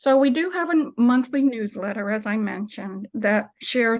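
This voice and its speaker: A woman talks at a moderate pace with lively intonation, in a normal speaking voice. The background is quiet. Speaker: minister and climate nonprofit director. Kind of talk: presentation with slides.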